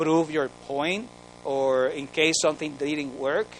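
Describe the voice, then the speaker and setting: A man with a Spanish accent speaks at a fairly slow pace in a fairly high pitch. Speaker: research training officer. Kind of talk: conference presentation. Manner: animated.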